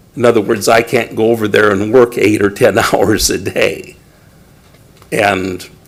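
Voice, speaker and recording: Noticeable background noise sounds behind a man who talks fairly slowly. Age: 60s. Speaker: property owner, public speaker. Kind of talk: public comment at council meeting. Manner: halting.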